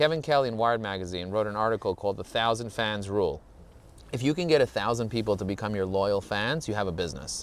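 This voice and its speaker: Very fast and animated, a man with a New York accent talks at a fairly low pitch with ordinary pitch variation. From US Northeast (Borough Park, Brooklyn, New York). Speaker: LinkedIn marketing expert. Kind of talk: casual interview while hiking. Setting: outdoors on a hike.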